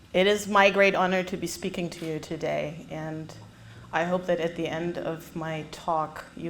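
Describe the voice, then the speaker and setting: The recording has audible room echo. A woman speaks at a fairly low pitch. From Germany. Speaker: public speaker. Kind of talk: testimony. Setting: stage with audience.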